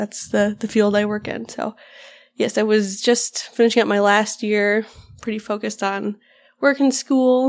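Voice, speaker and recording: Recorded very cleanly against a silent background, a woman with an American accent and an ordinary speaking voice talks at a fairly slow pace, her fairly high pitch following fairly even intonation. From Upper Midwest US (Minnesota, the Dakotas). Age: 20s. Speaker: podcast co-host, pregnant mother, wildlife biologist. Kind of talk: casual chat.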